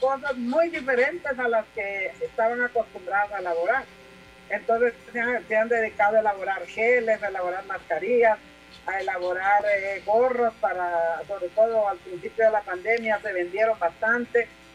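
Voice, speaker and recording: There is noticeable background noise behind a woman speaking at a moderate pace. Her pitch is fairly high, with ordinary variation. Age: 70s. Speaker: congresswoman. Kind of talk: interview.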